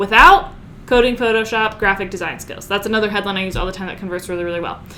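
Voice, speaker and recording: In an animated tone with ordinary pitch variation, a woman speaks over noticeable background noise. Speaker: online marketing coach. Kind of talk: tutorial. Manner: fast.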